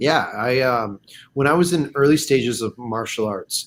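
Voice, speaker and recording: Medium-pitched and with lively intonation, a man speaks at a fairly slow pace in an ordinary speaking voice. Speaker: martial arts instructor. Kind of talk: livestream interview. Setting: video livestream.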